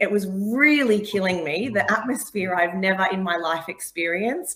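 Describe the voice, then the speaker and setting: A woman with an Australian accent talks at a moderate pace and medium pitch, with lively intonation, hardly any pauses and noticeable background noise. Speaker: sports broadcaster. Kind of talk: casual interview.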